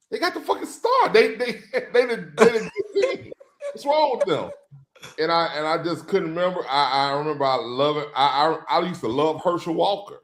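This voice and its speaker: A man talks with a Louisiana accent. His pace is fairly quick. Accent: Louisiana Southern US. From Louisiana, US South. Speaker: sports podcast co-host. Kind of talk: casual chat. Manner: halting.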